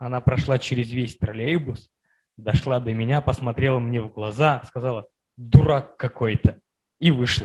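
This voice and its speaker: The speaker has an unremarkable speaking voice at a moderate pace. Pitch varies in an ordinary way. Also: man. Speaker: workshop participant. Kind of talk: personal story in group discussion.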